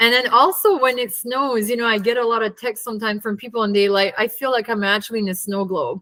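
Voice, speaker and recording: Very fast and bright, sharp in tone, the voice keeps a fairly even intonation. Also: woman, fairly high pitch for a woman, hardly any pauses. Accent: Acadian. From Acadian New Brunswick, Atlantic Canada. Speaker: glamping resort owner. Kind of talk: interview.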